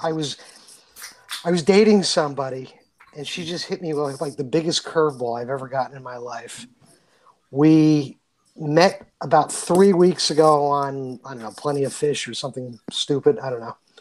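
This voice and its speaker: An unremarkable speaking voice moves at a fairly quick pace, with big swings in loudness and ordinary pitch variation. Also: man, fairly high pitch for a man. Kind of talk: casual chat. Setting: remote recording.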